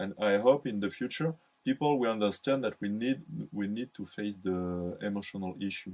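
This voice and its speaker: A man speaks with a French accent and ordinary pitch variation. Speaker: psychology speaker. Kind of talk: lecture. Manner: halting, many fillers and repetitions.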